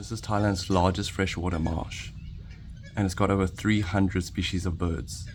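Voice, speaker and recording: Quiet speech from a man with very deep, low pitch, fairly even intonation and a moderate pace, in audible room echo. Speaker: travel vlogger. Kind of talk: casual vlog narration. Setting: outdoors on a marsh boardwalk. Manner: hushed, quiet; relaxed.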